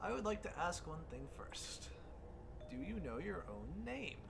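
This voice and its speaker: A man does a put-on character voice at a moderate pace. Loud background noise runs behind him. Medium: game stream. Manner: formal, refined, measured.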